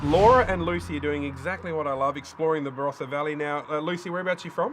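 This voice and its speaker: Very fast and lively in intonation, a man with an Australian accent talks at a fairly high pitch. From South Australia. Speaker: travel show host. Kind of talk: presenting to camera. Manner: animated.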